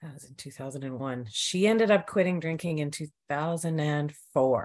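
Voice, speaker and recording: This woman speaks with a Canadian accent. Her recording is very clean, with a silent background. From Canada, rural Alberta. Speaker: podcast guest in alcohol recovery. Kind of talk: casual interview conversation.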